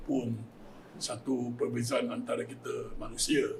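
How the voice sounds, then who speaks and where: Recorded with audible room echo and noticeable background noise, a man speaks at a very slow pace. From Malaysia. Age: 60s. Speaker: community volunteer running hearse van service. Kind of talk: panel talk show discussion.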